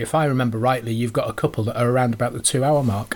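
A plain, everyday voice from a man, medium-pitched with ordinary pitch variation. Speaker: podcast host. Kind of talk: interview.

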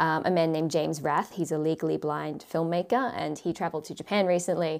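A woman speaks with an Australian accent. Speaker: YouTuber and travel content creator. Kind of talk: casual interview chat. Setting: remote call.

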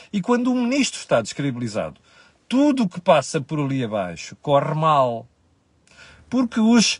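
A man's fairly high, somewhat breathy voice in a European Portuguese accent, animated in tone, with very wide pitch swings and a moderate pace. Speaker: economic commentator. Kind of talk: solo commentary.

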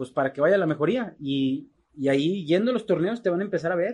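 Lively in intonation, a man talks at a high pitch. He keeps a moderate pace. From Mexico, Guadalajara, Jalisco. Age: 40s. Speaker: charro rider. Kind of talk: casual interview. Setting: in person, Monterrey.

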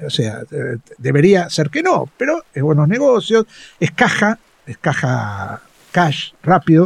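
A man with a fairly high pitch and vocal fry, his voice swinging very widely in pitch. He speaks at a very slow pace with long, frequent pauses, in a dry, close sound with no echo. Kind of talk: interview.

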